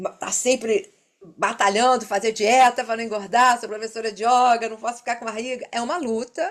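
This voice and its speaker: This very clean recording with a silent background captures a woman speaking at a high pitch. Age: old. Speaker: yoga teacher, panel moderator. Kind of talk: panel discussion. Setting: seminar panel with audience.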